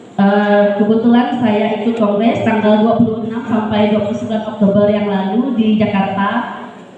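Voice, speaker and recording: A woman speaks at a fairly high pitch with monotone, flat intonation. Audible room echo and noticeable background noise fill the recording. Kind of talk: formal speech at inauguration ceremony. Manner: forceful, emphatic.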